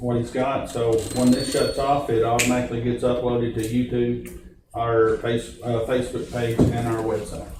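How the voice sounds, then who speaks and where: A man with a Tennessee accent speaks at medium pitch and a moderate pace, his intonation monotone and flat. Room echo is audible, and there is noticeable background noise. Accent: Southern US (Tennessee). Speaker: county official chairing meeting, also a preacher. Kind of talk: public meeting discussion. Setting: county meeting room, recorded for public. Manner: loud.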